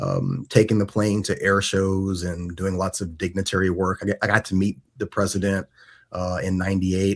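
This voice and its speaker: Fairly low male voice at a moderate pace, fairly even intonation, very clean recording with a silent background. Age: 40s. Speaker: podcast host, Air Force veteran. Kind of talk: casual chat. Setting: in person. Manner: halting.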